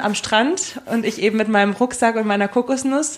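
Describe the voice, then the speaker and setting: A woman speaks in a plain, everyday voice at a moderate pace. Her pitch is fairly high and her intonation fairly even. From Germany. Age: 20s. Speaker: travel enthusiast. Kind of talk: casual chat. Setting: studio.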